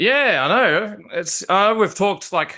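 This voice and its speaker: Speaking at a fairly slow pace, a man with an Australian accent has a bright, sharp tone. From Australia, Melbourne. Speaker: interviewer, prop replica enthusiast. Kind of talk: casual interview. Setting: video call.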